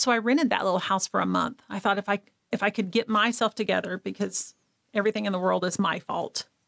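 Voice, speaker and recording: Speaking very fast with an American accent, a woman at medium pitch uses fairly even intonation and vocal fry, and the sound is dry and close with no echo. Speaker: abuse survivor and nonprofit founder. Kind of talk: personal testimony in interview. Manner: loud laugh.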